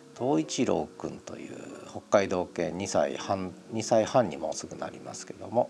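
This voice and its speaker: This man's fairly low voice swings widely in loudness over noticeable background noise. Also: lively intonation, moderate pace. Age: 50s. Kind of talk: audio diary monologue. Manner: casual, filler-heavy.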